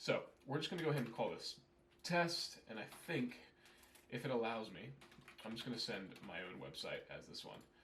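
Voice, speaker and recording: A man with an American accent speaks at a moderate pace, leaving long, frequent pauses, with big swings in loudness and audible room echo. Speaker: email marketing consultant. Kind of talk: tutorial. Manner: casual, conversational.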